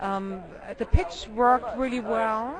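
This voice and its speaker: A woman speaks in a German accent at a moderate pace. Her pitch is fairly high. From Germany. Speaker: documentary filmmaker. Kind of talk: interview. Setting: film festival.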